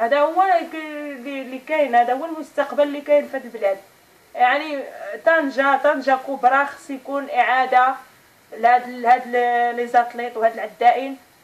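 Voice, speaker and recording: A woman's high voice at a moderate pace, with fairly even intonation and long, frequent pauses. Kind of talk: interview answer. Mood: earnest, complaining. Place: home room. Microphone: camera far.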